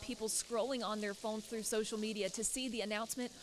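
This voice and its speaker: Speaking in an ordinary speaking voice, a woman keeps a fairly quick pace. Her pitch sits fairly high. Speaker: TV news reporter and anchor. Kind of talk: TV field news report. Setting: outdoors.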